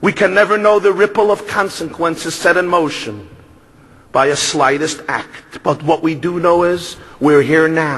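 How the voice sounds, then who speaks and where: A man with a fairly high pitch, ordinary pitch variation and a Brooklyn accent, over noticeable background noise. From Brooklyn, New York. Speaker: rabbi. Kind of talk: speech.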